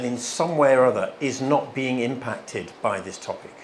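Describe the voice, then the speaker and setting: A man with a British accent, a fairly high pitch and a moderate pace, against noticeable background noise. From England. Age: 50s. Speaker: guest speaker at a church. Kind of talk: church talk. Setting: stage with audience at a church. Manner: animated.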